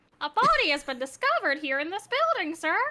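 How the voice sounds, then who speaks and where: In a put-on character voice, the speaker races along at a very fast pace with very wide pitch swings. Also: woman, extremely high pitch for a woman. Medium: fan dub. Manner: formal, deferential.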